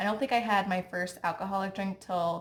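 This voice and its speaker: A soft-spoken woman with a Midwestern US accent, medium pitch, and fairly even intonation. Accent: US Midwest. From Ohio, Cincinnati. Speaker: lifestyle vlogger. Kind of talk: casual chat.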